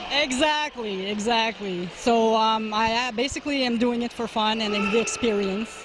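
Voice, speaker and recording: Her fairly high, somewhat breathy voice moves with fairly even intonation, and the woman hardly pauses at all. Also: moderate pace. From Timmins, Northern Ontario, Canada. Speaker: amateur arm wrestler. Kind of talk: interview at competition. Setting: event venue, red carpet.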